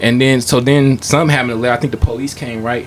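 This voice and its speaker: A man speaks very fast at a medium pitch with fairly even intonation. Background noise is noticeable. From Stockton, California. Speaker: rapper. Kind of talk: casual chat, storytelling. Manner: soft-spoken, laid back; halting, many fillers.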